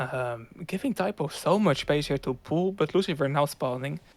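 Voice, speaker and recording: A man's fairly high-pitched voice with a Dutch accent and ordinary pitch variation. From Netherlands. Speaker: esports commentator. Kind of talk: live commentary.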